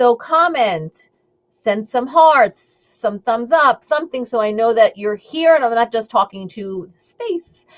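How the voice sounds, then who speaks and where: Speaking very slowly in a Long Island accent, a woman with a fairly high pitch uses lively intonation. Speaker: intuitive eating coach. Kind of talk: live stream talk. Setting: live video stream. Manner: casual, chatty.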